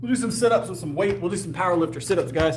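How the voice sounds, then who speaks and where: Through audible room echo and noticeable background noise, a man speaks with very wide pitch swings. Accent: American. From US South (Texas and South Carolina). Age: 30s. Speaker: powerlifter and fitness trainer. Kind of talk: casual live stream chat while working out. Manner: articulate, clear speaker.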